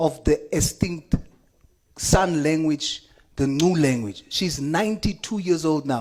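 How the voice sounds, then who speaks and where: The speaker talks at a fairly slow pace in a South African accent. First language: Afrikaans. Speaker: member of parliament. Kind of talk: parliamentary committee speech. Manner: impassioned.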